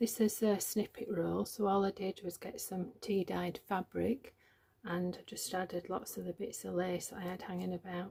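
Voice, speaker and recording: A woman speaks fairly slowly. She is soft-spoken. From Yorkshire, northern England. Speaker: journaling crafter. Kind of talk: craft tutorial.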